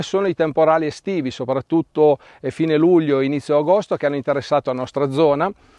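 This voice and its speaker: Against a quiet background, a man speaks in a fairly high voice with ordinary pitch variation. The sound is dry with no echo. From Piedmont, Italy (Asti area); Piedmont, Italy. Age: 50s. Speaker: winemaker. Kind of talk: interview monologue. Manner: hesitant with fillers. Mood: calm, informative. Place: farm.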